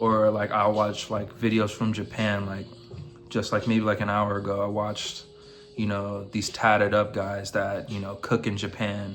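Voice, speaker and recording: With music in the background and audible room echo, a man with an American accent and a fairly low pitch talks at a moderate pace in a monotone, flat intonation. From United States. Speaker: vlogger. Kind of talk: casual monologue to camera. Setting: in his room. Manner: halting, stumbles over words.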